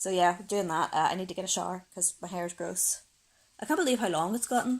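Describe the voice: Speaking at a fast pace, a woman uses a fairly low pitch with ordinary pitch variation.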